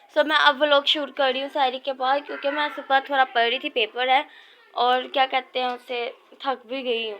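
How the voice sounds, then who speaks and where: Here a woman speaks at a high pitch. Her intonation stays fairly even. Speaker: vlogger. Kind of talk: casual vlog chat.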